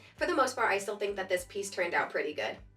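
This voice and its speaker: A woman's lively intonation over music in the background. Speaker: artist. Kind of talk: casual talk to camera.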